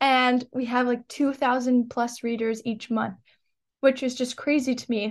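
A woman with a New York accent, high-pitched and monotone, at a moderate pace against a quiet background. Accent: New York American. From New York, Long Island. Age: young. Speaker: student and nonprofit founder. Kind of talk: interview.

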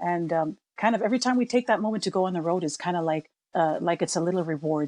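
In a normal speaking voice with an American accent, a woman talks at a fairly quick pace with a fairly low pitch and ordinary pitch variation, the sound dry and close with no echo against a quiet background. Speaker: singer from a family pop band. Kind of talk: interview conversation.

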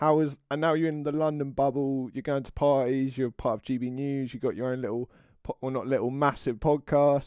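A man at a medium pitch, talking at a fairly quick pace. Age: 20s. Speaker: podcast host. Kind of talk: casual interview conversation. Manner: halting.

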